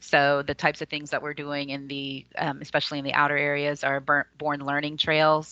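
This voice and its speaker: A woman speaks at a fairly quick pace in a very deep, low voice with a bright, sharp tone. Her intonation is monotone and flat, and the sound is dry and close with no echo. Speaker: community services presenter. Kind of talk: presentation on a video call. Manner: fast.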